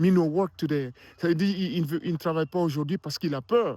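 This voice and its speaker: In a very clean recording with a silent background and a dry, close sound with no echo, a man with an African accent speaks at a moderate pace with ordinary pitch variation. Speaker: filmmaker and motivational vlogger. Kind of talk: motivational vlog talk. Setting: outdoors in a park, winter. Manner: hesitant, repeats words.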